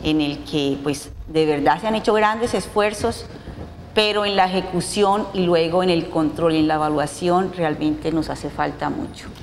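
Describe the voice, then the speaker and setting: Amid noticeable background noise and audible room echo, a woman with a Bogotá accent speaks at a fairly low pitch, with ordinary pitch variation and a moderate pace. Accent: Bogotá-like (cachaco). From Colombia, Cartagena. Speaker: business association president. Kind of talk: TV interview.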